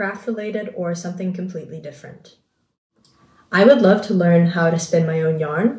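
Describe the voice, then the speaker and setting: Somewhat breathy, dark and mellow woman's voice, fairly low in pitch with ordinary variation, at a moderate pace, with audible room echo and a quiet background. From New Zealand, partly raised in Singapore. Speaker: craft video creator. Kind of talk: casual chat. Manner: relaxed, with frequent ums. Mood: relaxed, chatty. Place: home room. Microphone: phone near.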